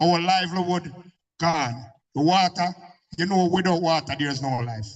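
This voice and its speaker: With a Jamaican accent, a man talks at a moderate pace in a high voice with ordinary pitch variation. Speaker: community speaker at public meeting. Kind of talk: impassioned public speech. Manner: animated.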